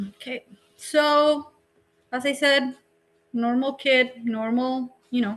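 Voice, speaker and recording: In a Spanish accent, the speech comes very slowly and in a monotone, flat way, broken by long, frequent pauses. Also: woman, high pitch for a woman. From Colombia. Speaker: drone education business founder. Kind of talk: career talk presentation.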